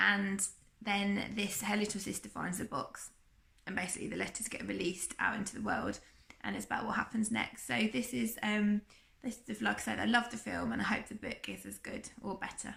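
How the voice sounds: A woman speaks at a moderate pace and medium pitch with ordinary pitch variation, her fairly bright tone carrying vocal fry, a croaky quality and a slightly husky edge.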